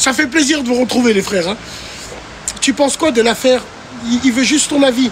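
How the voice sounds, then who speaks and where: Over noticeable background noise, a man speaks loudly at an extremely high pitch with lively intonation. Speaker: TikTok live streamer. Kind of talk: casual live stream chat reading viewer comments. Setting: livestream. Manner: animated.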